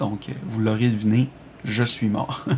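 A man's monotone, flat intonation against noticeable background noise. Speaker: video game reviewer. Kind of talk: recorded review reading.

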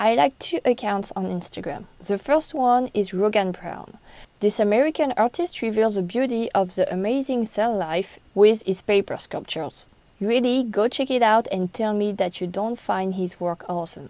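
A woman's fairly high-pitched, dark, mellow voice in a French accent, with lively intonation at a moderate pace. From France. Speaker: podcast host. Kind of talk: solo podcast recommendations.

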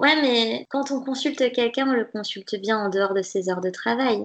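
A woman speaks at a moderate pace in a fairly high pitch, with ordinary pitch variation. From western France, Nantes. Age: 20s. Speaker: dietitian. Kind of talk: interview conversation.

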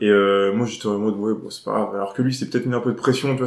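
Very fast speech from a man in a flat monotone. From Jura, France, then near Cholet from age 11-12. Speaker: stand-up comedian. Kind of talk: casual chat.

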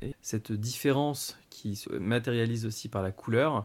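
With an unremarkable speaking voice, a man at medium pitch talks at a fairly slow pace. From Paris, France. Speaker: adoptee telling his story. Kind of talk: personal testimony interview.

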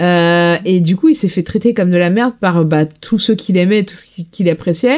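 A woman with an unremarkable speaking voice, medium pitch, and ordinary pitch variation, at a moderate pace with hardly any pauses. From Lorraine, France. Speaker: podcast guest, TV series fan. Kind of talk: casual chat.

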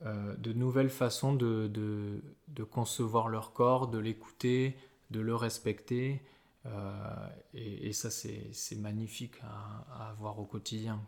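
A man's medium-pitched voice, monotone and flat, at a very slow pace. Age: 30s. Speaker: osteopath. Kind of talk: casual interview. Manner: halting, many repetitions and fillers.

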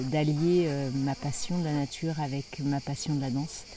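This woman has a very deep, low pitch and fairly even intonation. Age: 50s. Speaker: dance workshop leader. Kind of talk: interview. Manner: halting.

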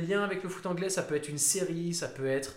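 There is audible room echo and noticeable background noise. A man speaks at a very fast pace. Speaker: football podcast host. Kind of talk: casual chat.

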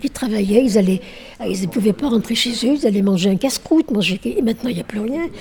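Over noticeable background noise, a woman talks very fast in a fairly high pitch with lively intonation. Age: old. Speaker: retired local resident. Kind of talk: interview.

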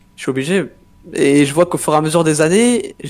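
The speaker is a man. His pace is fairly quick. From southwest France (Pau). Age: 20s. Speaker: professional esports player. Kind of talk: interview. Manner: halting.

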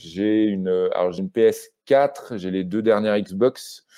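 A man speaking at a very slow pace. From Normandy, France (Rouen). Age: 30s. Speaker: journalist and author. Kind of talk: casual interview. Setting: video call from his house in Brittany. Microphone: poor connection, pixelated video.

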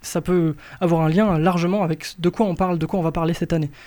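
A man's dark, mellow tone at a high pitch and fairly quick pace, in a very clean recording with a silent background. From rural France. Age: 20s. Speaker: radio host. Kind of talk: casual chat.

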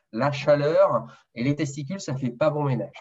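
A man is speaking. His voice is somewhat breathy. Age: 30s. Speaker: nurse and male contraception developer. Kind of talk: interview. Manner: hesitant, repeats words.

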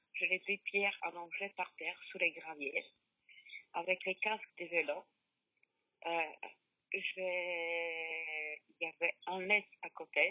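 A woman speaks with a fairly low pitch and monotone, flat intonation. She leaves long, frequent pauses. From Poland. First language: Polish (speaking French). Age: 50s. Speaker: bereaved mother. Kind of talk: testimony. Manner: halting.

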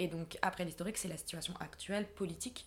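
Somewhat breathy and fairly low, a woman's voice moves at a moderate pace with monotone, flat intonation. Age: 20s. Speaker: humanitarian logistician. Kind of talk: interview.

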